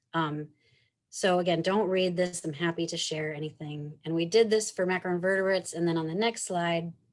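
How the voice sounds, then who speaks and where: This woman has an ordinary speaking voice, fairly low in pitch. Her intonation stays fairly even at a moderate pace. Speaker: researcher presenting at a conference. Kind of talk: conference presentation.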